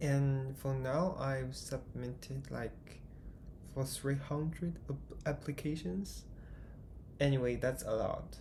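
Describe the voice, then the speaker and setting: A man with a Chinese accent, at a very slow pace, amid audible room echo. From China. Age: 20s. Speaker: vlogger. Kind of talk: casual vlog monologue. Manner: halting, hesitant.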